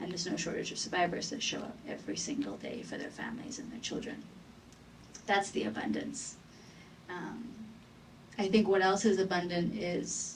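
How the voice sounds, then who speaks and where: A woman with a fairly low voice and ordinary pitch variation is heard with audible room echo. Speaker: advocate against gender violence. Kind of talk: panel discussion.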